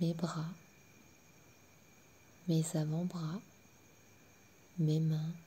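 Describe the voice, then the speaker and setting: A woman speaks very slowly in a calm tone. Her voice is fairly low and somewhat breathy. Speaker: sophrologist. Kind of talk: guided sleep relaxation. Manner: slow, calm.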